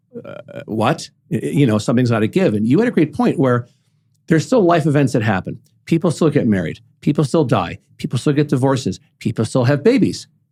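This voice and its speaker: With a dark, mellow tone and some vocal fry, a man speaks fairly quickly at a fairly high pitch and lively intonation. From New York City. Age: 50s. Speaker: podcast host. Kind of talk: casual chat. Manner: animated.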